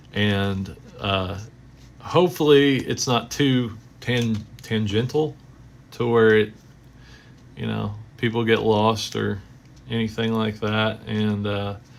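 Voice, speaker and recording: Fairly low in pitch, a man talks at a very slow pace with long, frequent pauses. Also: ordinary pitch variation. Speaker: sports card collector streamer. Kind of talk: live stream commentary. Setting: live stream. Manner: rambling, hesitant with fillers.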